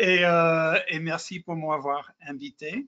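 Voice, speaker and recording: With an English accent, a man is talking. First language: English (speaking French). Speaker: lawyer, president of international lawyers' association. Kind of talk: webinar panel discussion. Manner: halting, self-correcting.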